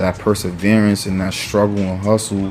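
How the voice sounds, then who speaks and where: A man with a New York accent talks at a fairly slow pace with a fairly low pitch and an animated tone. Music plays in the background. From New York (Mount Vernon). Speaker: political commentary vlogger. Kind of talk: casual opinion rant. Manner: animated, profanity-laden, frequent fillers.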